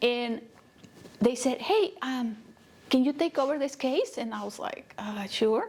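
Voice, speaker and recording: A high-pitched woman with a Spanish accent speaks at a fairly slow pace, her intonation lively, her loudness swinging widely, and her pauses long and frequent. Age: 30s. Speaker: nonprofit CEO and counselor. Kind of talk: interview.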